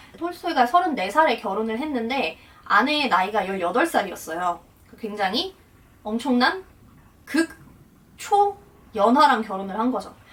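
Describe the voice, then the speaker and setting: A woman speaks at a fairly high pitch with very wide pitch swings over noticeable background noise. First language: Russian (speaking Korean). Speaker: translator and interpreter, vlogger. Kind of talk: casual explanatory vlog talk.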